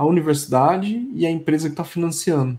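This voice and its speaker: A man is speaking. His tone is dark and mellow. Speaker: tech podcast host. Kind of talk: casual interview chat.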